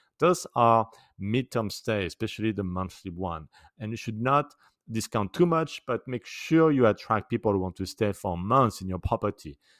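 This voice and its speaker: A man in a French accent, medium-pitched, with lively intonation on a very clean recording with a silent background. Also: moderate pace, dry, close sound with no echo. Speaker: short-term rental expert / podcast host. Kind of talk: tutorial / advice monologue.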